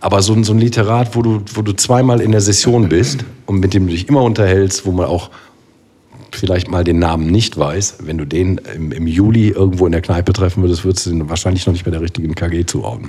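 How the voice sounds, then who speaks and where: With a very deep, low pitch, a man speaks at a fairly quick pace and ordinary pitch variation. Noticeable background noise can be heard. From Rhineland, Germany (Bergisch Gladbach near Cologne). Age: 40s. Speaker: carnival band keyboardist. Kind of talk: casual chat.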